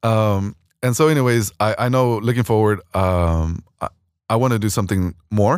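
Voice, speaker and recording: With an American accent, a man speaks in a plain, everyday voice at a fairly low pitch and moderate pace, his pitch variation ordinary and his loudness very even. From Houston area, Texas. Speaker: school administrator. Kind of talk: casual interview.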